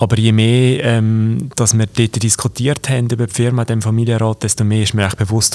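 A man talks at a moderate pace in a normal speaking voice, his pitch fairly low. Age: 20s. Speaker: company executive and cantonal politician. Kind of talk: interview. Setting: company office.

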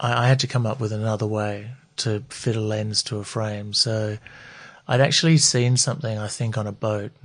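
With an Australian accent, a man speaks at a moderate pace and medium pitch, somewhat breathy, with fairly even intonation against a quiet background. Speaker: eyewear designer. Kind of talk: interview.

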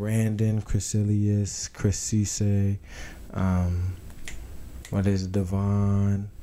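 In a dark, mellow tone with an American accent, a man talks at a fairly low pitch and a very slow pace, leaving long, frequent pauses. His intonation is monotone and flat, and audible room echo fills the recording. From Tucson, Arizona. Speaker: college football player. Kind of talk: casual interview. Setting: small apartment studio. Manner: halting, many fillers.

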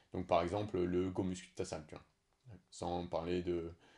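This man has a very deep, low voice with a dark, mellow tone. He talks at a moderate pace. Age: 30s. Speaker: podcast host, fitness coach. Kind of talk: casual chat.

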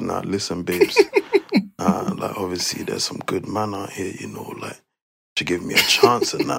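Using a put-on character voice, the speaker sounds husky and raspy at a moderate pace. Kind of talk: casual street slang, flirty.

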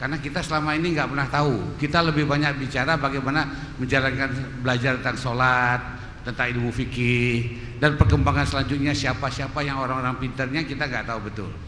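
A man at a very fast pace and medium pitch, fairly even intonation, with audible room echo and noticeable background noise. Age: 60s. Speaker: mosque study moderator. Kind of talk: event hosting remarks. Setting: mosque.

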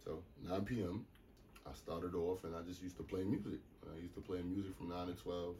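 At a fairly quick pace with long, frequent pauses, a man with an American accent speaks in a very deep, low, somewhat breathy voice with fairly even intonation. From US Northeast, New York City (the Bronx, Baychester). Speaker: DJ and producer. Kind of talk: casual interview chat. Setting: studio.

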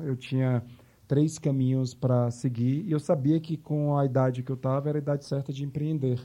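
A man with an unremarkable speaking voice talks at a moderate pace with fairly even intonation. The background is quiet. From Bahia, Brazil (Salvador). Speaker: marketing agency executive. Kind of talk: interview.

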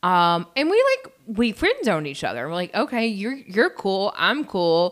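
Here a woman speaks with a Southern US accent and very wide pitch swings. The recording is very clean, with a silent background. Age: 40s. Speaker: podcast co-host. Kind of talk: casual chat.

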